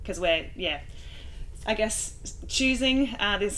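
In a room with audible echo, a high-voiced woman with an Australian accent speaks at a moderate pace in a bright, sharp tone with very wide pitch swings. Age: 30s. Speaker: professional cyclist and podcast host. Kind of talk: casual interview chat.

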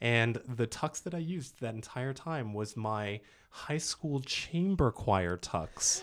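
Talking at a very slow pace, a man with an American accent uses lively intonation. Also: medium pitch for a man. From US East Coast. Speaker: actor and dialect coach. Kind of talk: casual chat.

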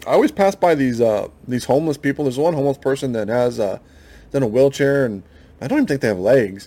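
A man with an American accent talks at a very fast pace and a medium pitch. His tone is dark and mellow, with ordinary pitch variation. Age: 40s. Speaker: podcast host. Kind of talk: solo monologue podcast. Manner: halting, frequent fillers.

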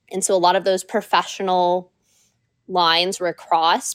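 A woman with an American accent talks at a medium pitch and a moderate pace. The recording is very clean, with a silent background and a dry, close sound with no echo. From US Pacific Northwest, Washington State. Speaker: freelance model. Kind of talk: casual chat.

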